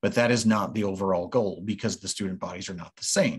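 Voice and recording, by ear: A man talks at a fairly quick pace in a fairly low pitch, with a slightly husky edge.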